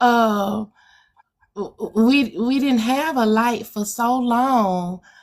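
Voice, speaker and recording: A woman speaks very slowly with a Southern US accent and ordinary pitch variation. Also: fairly high pitch for a woman. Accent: Southern US country twang. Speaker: guest answering audience questions.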